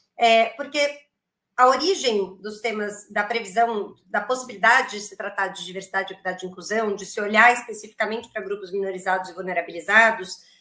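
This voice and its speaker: At a fairly quick pace, a woman with a fairly high pitch and ordinary pitch variation speaks with big swings in loudness. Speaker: lawyer. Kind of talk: panel discussion. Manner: hesitant.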